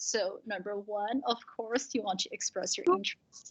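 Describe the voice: A woman's medium-pitched voice with a slightly husky edge and a fairly bright tone, ordinary pitch variation, and a moderate pace.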